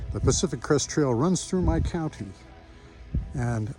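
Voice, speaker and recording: A man with a fairly high voice talks while music plays behind him. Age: 60s. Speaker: hiker. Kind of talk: testimony. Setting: outdoors on a mountain.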